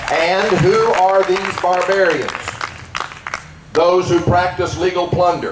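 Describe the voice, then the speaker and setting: Crowd noise fills the background as a man speaks very slowly in a high, monotone voice with flat intonation. His loudness stays very even, broken by long, frequent pauses. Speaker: pastor. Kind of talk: rally speech, rousing political and religious oratory. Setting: outdoor rally to a crowd. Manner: forceful, emphatic, declamatory.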